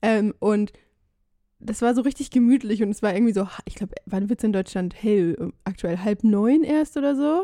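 In a very clean recording with a silent background and a dry, close sound with no echo, a woman with a dark, mellow tone and fairly high pitch speaks at a moderate pace with ordinary pitch variation. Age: 20s. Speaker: travel podcaster. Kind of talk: casual chat.

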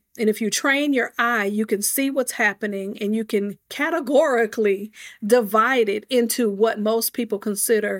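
A woman speaks in an ordinary speaking voice with a fairly high pitch. The recording is very clean with a silent background and a dry, close sound with no echo. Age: 40s. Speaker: author and speaker. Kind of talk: interview.

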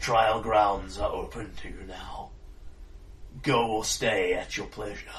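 A booming, put-on character voice from a man, with big swings in loudness over clear background noise. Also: fairly slow pace. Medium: actual play. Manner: formal, grave.

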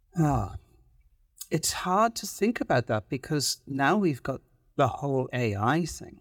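A man with a Welsh accent speaks at a fairly slow pace in a fairly high pitch, his voice swinging very widely in pitch, recorded dry and close with no echo, very clean and against a silent background. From Wales. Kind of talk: casual chat.

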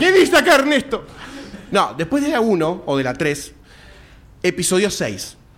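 A man with a Rioplatense accent talks in a high voice with very wide pitch swings. His fairly slow delivery has long, frequent pauses. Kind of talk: live podcast panel chat before audience. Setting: stage with live audience.

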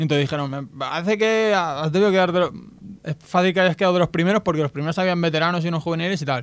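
Talking at a very fast pace, a man uses a high pitch and an animated tone. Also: ordinary pitch variation. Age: 30s. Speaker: visually impaired athlete. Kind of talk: radio interview.

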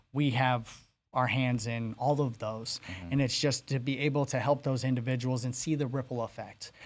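In an American accent, an ordinary speaking voice moves at a moderate pace with fairly even intonation on a very clean recording with a silent background. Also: man, medium pitch for a man. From Arizona (Phoenix, Maryvale). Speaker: recovered addict turned entrepreneur. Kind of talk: interview.

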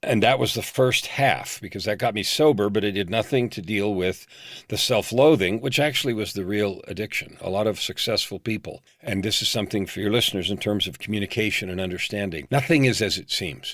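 Fairly quick and with hardly any pauses, a man with an unremarkable speaking voice talks at fairly low pitch with ordinary pitch variation. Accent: American. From US, San Francisco Bay Area. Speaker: leadership coach. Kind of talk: interview.

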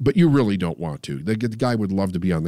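With lively intonation, a man speaks in a very deep, low voice of dark, mellow tone. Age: 50s. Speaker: podcast host, mindset coach. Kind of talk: casual chat.

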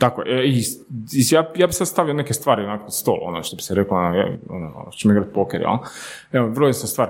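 A man's pitch swings very widely around a medium level. His pace is moderate. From Slavonski Brod, Croatia. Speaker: startup co-owner. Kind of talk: casual chat.

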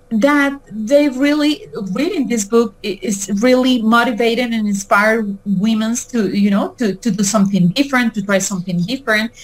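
A woman with a Spanish accent speaks at a moderate pace with hardly any pauses. Her voice is fairly high, somewhat breathy, with ordinary pitch variation. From Mexico and Venezuela. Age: 40s. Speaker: author. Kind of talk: interview. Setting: video call. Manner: halting.

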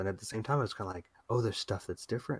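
Recorded very cleanly with a silent background, a man speaks at a fairly low pitch with ordinary variation. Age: 40s. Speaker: podcast co-host. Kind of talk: casual chat.

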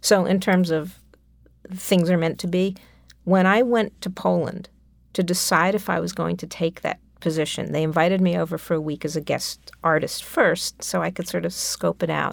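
A woman with a New York accent at a moderate pace, on a very clean recording with a silent background. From New York City (Manhattan). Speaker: composer. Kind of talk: interview.

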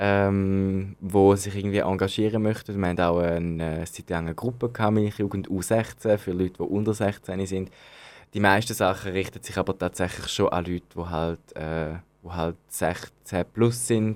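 A man talks at a fairly slow pace with a fairly low pitch and fairly even intonation. The recording is very clean, with a silent background. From Switzerland, Zürich. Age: 20s. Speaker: youth organization member. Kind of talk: interview. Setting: studio. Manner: hesitant, many fillers.

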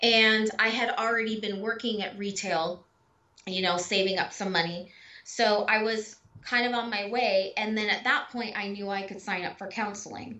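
Speaking at a moderate pace in a Californian accent, a woman uses a fairly high pitch and fairly even intonation. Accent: Californian American English. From Southern California. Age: 40s. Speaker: abuse survivor. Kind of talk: casual interview.

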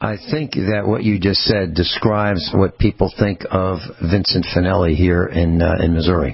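A man's very deep, low voice at a moderate pace, with ordinary pitch variation, hardly any pauses, and noticeable background noise. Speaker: radio host.

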